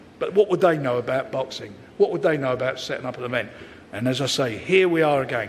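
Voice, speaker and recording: Noticeable background noise runs under a man's voice. He speaks at a fairly quick pace with lively intonation. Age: 70s. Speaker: boxing promoter. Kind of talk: press conference speech. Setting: press conference. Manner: animated.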